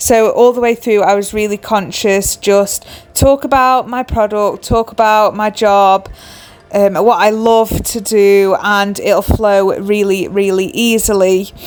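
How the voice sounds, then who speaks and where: A woman talks at a fairly slow pace in a fairly high voice with fairly even intonation, over noticeable background noise. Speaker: crochet designer and small business owner. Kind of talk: vlog.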